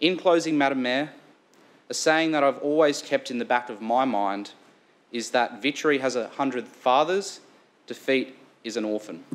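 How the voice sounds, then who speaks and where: A man in an Australian accent at a moderate pace, with long, frequent pauses. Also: medium pitch for a man, ordinary pitch variation. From Sunshine Coast, Queensland, Australia; Queensland, Australia. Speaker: local councillor. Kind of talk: formal speech. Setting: council chamber. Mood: earnest, grateful. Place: meeting room.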